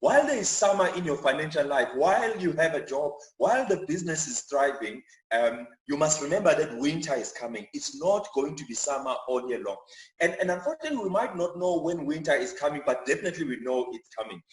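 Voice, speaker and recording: The speaker has a Zulu accent and talks at a very fast pace. The intonation is lively. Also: man, fairly high pitch for a man. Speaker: chartered accountant giving church finance talk. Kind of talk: church talk on personal finance. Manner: repetitive, frequent fillers and restarts.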